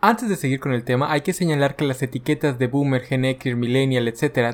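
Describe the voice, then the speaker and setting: With a normal speaking voice, a man talks at a fairly quick pace and a fairly high pitch on a very clean recording with a silent background. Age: 30s. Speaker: podcast host. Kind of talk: scripted narration.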